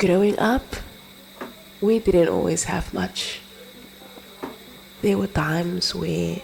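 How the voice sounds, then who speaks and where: A soft-spoken voice at a very slow pace, with long, frequent pauses and noticeable background noise. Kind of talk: spoken-word reflective narration.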